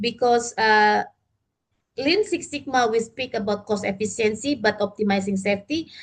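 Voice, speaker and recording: Against a quiet background, a woman with a fairly high, somewhat breathy voice speaks at a moderate pace with ordinary pitch variation. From Indonesia. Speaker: lifting safety consultant. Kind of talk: training lecture. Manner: hesitant, many fillers.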